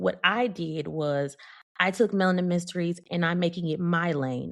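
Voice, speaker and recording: A woman with a fairly low pitch speaks at a moderate pace with fairly even intonation. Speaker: podcast host. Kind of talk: casual chat. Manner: loud.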